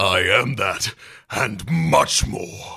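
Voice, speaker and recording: Raspy, menacing put-on character voice from a man. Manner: roaring, menacing, boastful.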